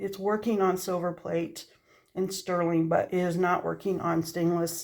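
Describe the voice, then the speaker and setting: The woman's voice is fairly low, with monotone, flat intonation. She keeps a moderate pace. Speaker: craft seller and maker. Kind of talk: casual studio update vlog. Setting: cold home craft studio. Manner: hesitant with frequent fillers.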